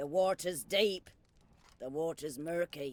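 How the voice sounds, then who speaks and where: A man puts on a character voice pitched high. He delivers it at a fairly slow pace. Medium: video game. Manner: crude, cackling, rustic.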